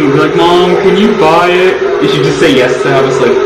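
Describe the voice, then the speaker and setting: A man talks at a very fast pace with audible room echo. Music plays in the background. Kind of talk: casual cooking chat. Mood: playful nostalgic banter. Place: kitchen. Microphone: camera far.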